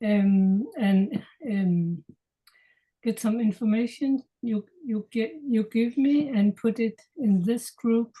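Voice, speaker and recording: Here a woman speaks very slowly in a dark, mellow tone that is somewhat breathy. Her pitch is fairly high with ordinary variation, and her loudness stays very even. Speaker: product distributor. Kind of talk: interview answer. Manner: halting.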